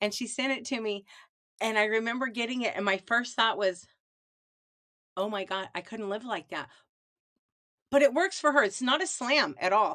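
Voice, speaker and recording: The voice has a Midwestern US accent and a bright, sharp tone with ordinary pitch variation. It moves at a moderate pace broken by long, frequent pauses. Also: woman, fairly high pitch for a woman. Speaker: lifestyle vlogger. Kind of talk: casual monologue. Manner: conversational, digressive.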